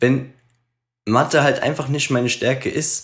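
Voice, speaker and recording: A man's medium-pitched voice with vocal fry, fairly slow pace, and a very clean recording over a silent background. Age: 30s. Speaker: podcast co-host. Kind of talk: casual chat.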